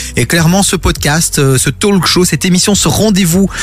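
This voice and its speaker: A man talks at a moderate pace. Noticeable background noise runs through the clip. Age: 30s. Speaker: radio host. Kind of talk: casual chat. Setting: studio. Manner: animated.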